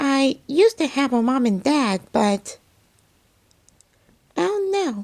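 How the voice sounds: Pitched extremely high, a man's voice is a put-on character voice.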